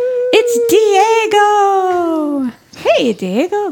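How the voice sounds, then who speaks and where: Against noticeable background noise, a woman's intonation sounds lively. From outside Sweden, immigrant. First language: not Swedish. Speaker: podcast host. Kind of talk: casual chat.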